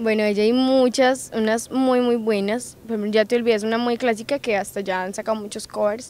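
Fairly high-pitched woman's voice with monotone, flat intonation and a dry sound with no echo. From Colombia, Risaralda (Quinchía); Risaralda, Colombia. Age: young. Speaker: singer; interviewee. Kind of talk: interview. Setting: recorded in Pereira. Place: open country. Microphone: handheld.

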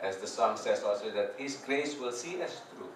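With light background noise and audible room echo, a man speaks at a moderate pace. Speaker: preacher. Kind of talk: sermon. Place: hall. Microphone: camera far.

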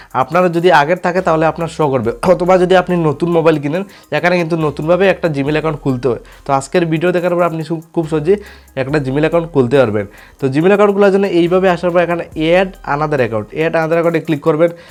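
A man with a high pitch and ordinary pitch variation, music in the background. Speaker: tech tutorial YouTuber. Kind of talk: tutorial.

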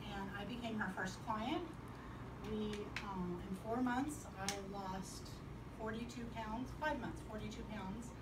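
Noticeable background noise runs under the recording. A woman speaks at a moderate pace. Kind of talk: personal testimonial to a small group. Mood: earnest, upbeat at end. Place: home room. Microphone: camera far.

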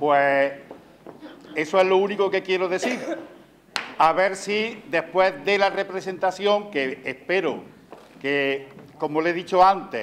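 A man at a high pitch with ordinary pitch variation, a very slow pace and long, frequent pauses, over light background noise. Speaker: presenter. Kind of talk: public talk to audience. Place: stage.

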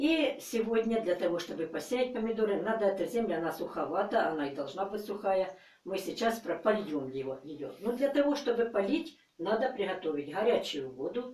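Audible room echo follows this woman as she talks at a moderate pace. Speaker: gardening channel host. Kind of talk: tutorial. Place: home room. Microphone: camera far.

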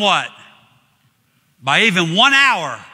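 Against a quiet background, a man with a high voice projects loudly in a bright, sharp tone. He speaks fairly slowly. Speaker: evangelist preaching a sermon. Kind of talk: church sermon with congregation interaction. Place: church.

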